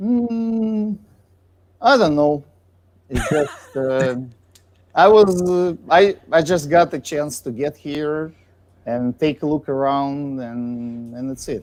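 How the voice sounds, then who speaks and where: Very slow speech from a man with a Russian accent, long and frequent pauses, fairly high pitch and lively intonation. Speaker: guest musician and residential framer. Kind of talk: casual chat. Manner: halting.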